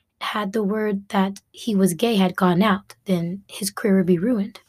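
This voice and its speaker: A woman with an American accent speaks at a moderate pace and medium pitch, somewhat breathy. The recording is very clean with a silent background. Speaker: podcast host. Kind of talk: casual monologue.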